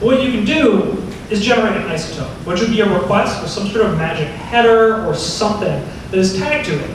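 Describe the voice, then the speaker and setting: Over noticeable background noise and audible room echo, a man speaks quickly with a high pitch and ordinary pitch variation. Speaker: tech conference speaker. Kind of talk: tech talk. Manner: fast; casual.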